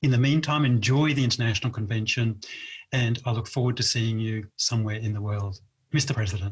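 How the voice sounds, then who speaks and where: A man talks fairly quickly with an Australian accent. His medium-pitched voice is somewhat breathy, with ordinary pitch variation. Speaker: past president of a speaking club organization. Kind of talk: inspirational speech. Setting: virtual convention video.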